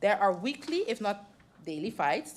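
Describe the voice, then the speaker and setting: A woman's fairly high-pitched voice with a non-native accent. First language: not English. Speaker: member of parliament. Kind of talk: parliamentary debate speech.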